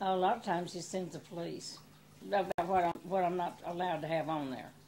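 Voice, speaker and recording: With a Texan accent, a woman speaks in a fairly low pitch and a dark, mellow tone, keeping her intonation fairly even. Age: 80s+. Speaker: small business owner. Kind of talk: interview answer.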